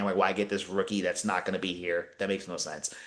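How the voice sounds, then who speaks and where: A man talks at a very fast pace in an animated tone. Noticeable background noise runs behind him. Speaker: basketball journalist and podcast co-host. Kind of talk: casual podcast chat.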